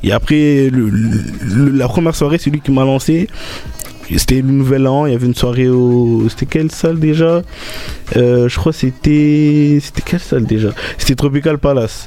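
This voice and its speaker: A man at a medium pitch and moderate pace, with ordinary pitch variation, very even loudness, and music in the background. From Marseille, France. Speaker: DJ and beatmaker. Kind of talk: radio interview.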